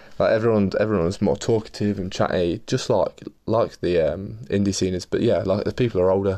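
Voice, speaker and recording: In an East Midlands accent, a man speaks at a very fast pace with a dark, mellow tone. His pitch is fairly low with ordinary variation, over a quiet background. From Leicester, English Midlands. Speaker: podcast host and business founder. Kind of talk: casual solo monologue. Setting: in his room.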